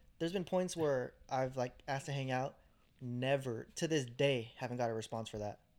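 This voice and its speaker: In a very clean recording with a silent background, a man talks at a moderate pace in a plain, everyday voice, his medium pitch moving with ordinary variation. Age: 20s. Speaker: podcast co-host. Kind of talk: casual chat.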